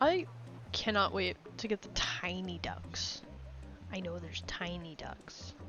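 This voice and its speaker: A soft-spoken woman at a fairly slow pace, with long, frequent pauses and music in the background. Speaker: streamer. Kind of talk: casual chat. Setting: live stream.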